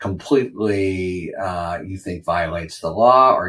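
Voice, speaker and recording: This man speaks with an American accent at a very deep, low pitch. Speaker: legal analyst podcast host. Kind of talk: solo commentary. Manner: even-keeled.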